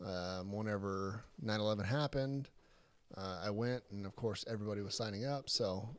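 A man with an American accent speaks in an ordinary speaking voice at medium pitch and a moderate pace, on a very clean recording with a silent background. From Texas (Crandall, near Dallas). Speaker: military recruiter. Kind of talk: casual chat.

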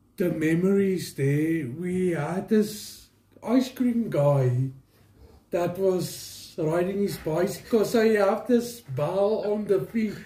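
Amid noticeable background noise and audible room echo, a man with a South African accent speaks at a very slow pace in a high pitch with ordinary pitch variation. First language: Afrikaans. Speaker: family member of co-host. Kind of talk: casual chat. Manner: halting.

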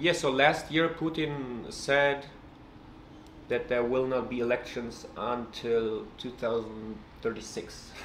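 A man at a very slow pace, fairly even intonation, audible room echo and noticeable background noise. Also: medium pitch for a man. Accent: Russian. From Russia. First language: Russian. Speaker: writer. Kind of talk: casual chat.

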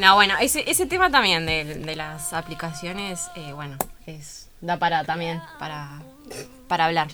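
A woman's fairly low voice at a fairly slow pace, ordinary pitch variation, big swings in loudness, and noticeable background noise. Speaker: university radio host. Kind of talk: radio interview.

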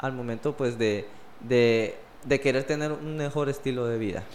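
Fairly high in pitch, a man speaks with an unremarkable speaking voice and ordinary pitch variation. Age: 20s. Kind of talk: casual religious discussion.

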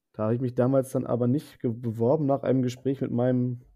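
A plain, everyday voice talks at a fairly quick pace. Its intonation stays fairly even. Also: man. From northern Germany, Bremerhaven. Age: 20s. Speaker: zookeeper, exchange program participant. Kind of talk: interview.

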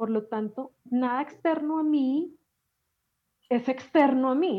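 A woman speaks with ordinary pitch variation. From Colombia, Medellín. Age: 40s. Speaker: life coach and emotional healing expert. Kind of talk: podcast interview.

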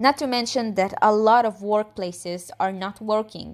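A woman's normal speaking voice, medium in pitch, fairly slow and fairly even in intonation, on a very clean recording with a silent background. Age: 20s. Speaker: student. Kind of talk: scripted monologue.

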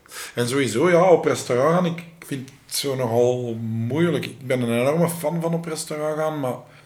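Audible room echo carries a man's fairly high voice as he talks at a moderate pace with hardly any pauses, ordinary pitch variation and big swings in loudness. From Flanders, Belgium (Lennik, Flemish Brabant). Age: 30s. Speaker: reality TV contestant. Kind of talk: casual chat.

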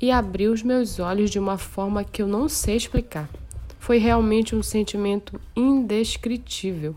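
A woman talks at a moderate pace and a medium pitch. Her tone is dark and mellow. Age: 30s. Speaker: church youth leader. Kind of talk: testimony.

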